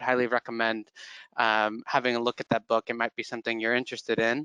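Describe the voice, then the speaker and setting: Bright and sharp in tone, a man with an American accent is heard on a dry recording with no echo and a quiet background. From California. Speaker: employer brand manager. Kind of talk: webinar presentation. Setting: online webinar. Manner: hesitant, many fillers. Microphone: headset.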